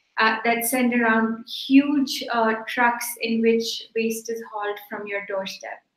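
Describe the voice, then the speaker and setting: Very slowly and with hardly any pauses, a woman speaks at a fairly high pitch in a monotone, flat way, with audible room echo and a quiet background. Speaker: plastic recycling company executive. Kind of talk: keynote presentation. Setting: online conference call.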